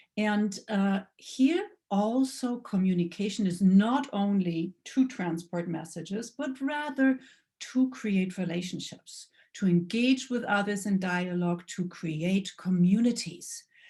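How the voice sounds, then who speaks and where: A woman with a German accent, somewhat breathy, with a dark, mellow tone, medium pitch, ordinary pitch variation and a fairly slow pace, on a very clean recording with a silent background. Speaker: lecturer. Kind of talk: lecture. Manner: halting.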